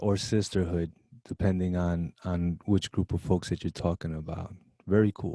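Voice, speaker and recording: Over a quiet background, a man in a Brooklyn accent speaks at a moderate pace in a very deep, low pitch, his dark, mellow tone flat and monotone in a dry, close sound with no echo. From Brooklyn, New York. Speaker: college show host. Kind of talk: interview. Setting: video call.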